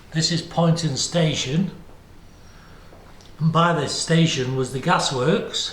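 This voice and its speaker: With noticeable background noise around him, a man speaks at a very slow pace, his fairly high voice held to fairly even intonation. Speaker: museum guide. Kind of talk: guided tour narration.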